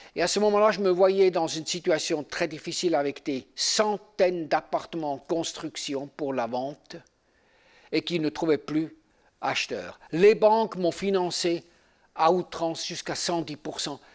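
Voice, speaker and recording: Speaking at a fairly slow pace with a Swiss German accent, a man with a high pitch shows ordinary pitch variation on a very clean recording with a silent background. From German-speaking Switzerland. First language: Swiss German (speaking French). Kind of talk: seminar teaching with personal testimony. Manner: halting, with fillers.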